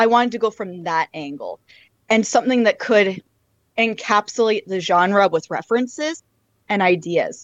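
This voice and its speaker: A woman with a Canadian accent speaks in a plain, everyday voice, fairly high in pitch, with lively intonation at a moderate pace. The background is quiet and the sound is dry and close with no echo. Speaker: YouTube creator and Eurobeat songwriter. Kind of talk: interview.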